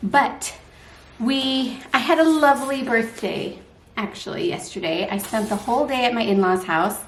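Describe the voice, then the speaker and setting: With an American accent, a woman talks at a moderate pace in a high voice with lively intonation, amid noticeable background noise and audible room echo. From United States. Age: 30s. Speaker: vlogger. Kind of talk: casual vlog to camera.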